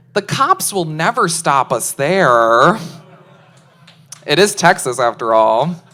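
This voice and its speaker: In a Chicago accent, the speaker goes at a very slow pace with long, frequent pauses and very wide pitch swings. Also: woman, fairly low pitch for a woman. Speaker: stand-up comedian. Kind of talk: stand-up. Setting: stage with audience.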